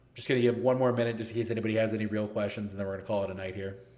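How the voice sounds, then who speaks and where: In a room with audible echo, a man races along at a very fast pace, his fairly low voice held in a monotone, flat intonation. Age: 30s. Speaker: esports league organizer and streamer. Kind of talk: live stream Q&A. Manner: casual, joking.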